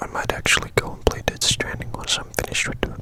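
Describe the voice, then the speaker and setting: The speaker whispers at a fairly quick pace. Noticeable background noise can be heard. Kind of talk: ASMR whispered talk. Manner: whispered, soft-spoken.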